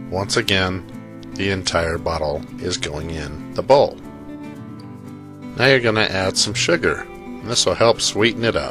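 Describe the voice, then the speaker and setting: Over background music, a man talks at a fairly slow pace. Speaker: cooking channel host. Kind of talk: cooking tutorial narration.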